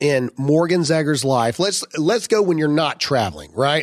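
Loud and fairly high in pitch, a man talks at a moderate pace. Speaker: podcast host. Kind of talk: casual chat. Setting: studio.

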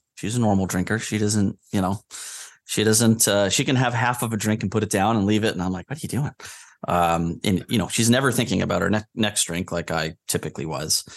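Against a quiet background, a man with an American accent speaks at a fairly quick pace in a fairly low pitch, with ordinary pitch variation and a dry, close sound with no echo. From New Hampshire, US. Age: 40s. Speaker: podcast guest sharing recovery story. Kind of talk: personal interview, testimony. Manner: halting, repeats words.

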